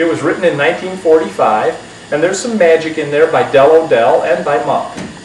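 A man at a moderate pace, with ordinary pitch variation, audible room echo and light background noise. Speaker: magic shop host. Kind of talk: casual reminiscence to camera. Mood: warm, amused, laughing. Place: studio.

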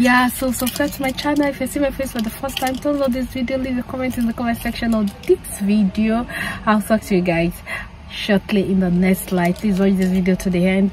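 Over faint background noise, a woman speaks at a moderate pace with a slightly mellow tone and fairly even intonation.

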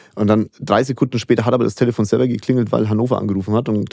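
A man at a very fast pace, fairly low in pitch, with a dark, mellow tone and fairly even intonation. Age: 40s. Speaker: entrepreneur and investor. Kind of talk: interview.

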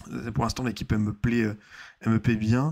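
A man speaks with a fairly low pitch and ordinary pitch variation. The background is quiet. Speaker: football YouTuber / streamer; football YouTuber, streamer. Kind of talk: casual live football debrief. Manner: hesitant, many fillers and repetitions.

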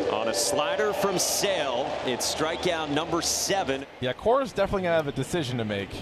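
A man's animated, excited voice at a fairly quick pace, with very wide pitch swings, hardly any pauses, and noticeable background noise. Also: fairly high pitch for a man. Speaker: play-by-play announcer. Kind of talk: live sports commentary. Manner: animated, excited play-by-play call.

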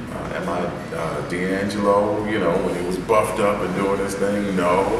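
A man talks amid noticeable background noise and audible room echo. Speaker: soul singer. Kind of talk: interview answer. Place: hall. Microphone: camera far.

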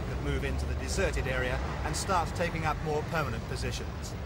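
A man with a British accent at a very fast pace, over music in the background. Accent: British broadcast English. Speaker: news reporter. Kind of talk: 1980s TV news report narration. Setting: archive clip, street news report. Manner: formal, measured, brisk broadcast delivery.

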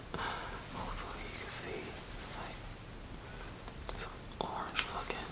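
Amid loud background noise, a man keeps a moderate pace, broken by long, frequent pauses. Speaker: ASMR creator. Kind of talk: ASMR food taste test. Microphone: headset.

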